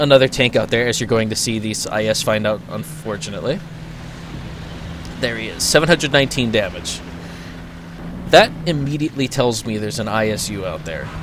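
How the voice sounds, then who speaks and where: Over noticeable background noise, a man with a medium pitch uses lively intonation and takes long, frequent pauses. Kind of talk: gameplay commentary. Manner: casual.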